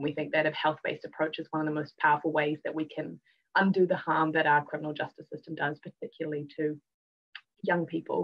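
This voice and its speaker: A woman with a New Zealand accent speaks at a very deep, low pitch and a very fast pace. Her intonation is monotone and flat, over a quiet background. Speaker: youth justice advocate; guest. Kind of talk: live panel discussion; panel discussion remarks. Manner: hesitant with many fillers. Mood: warm, hopeful. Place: home room. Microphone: video call.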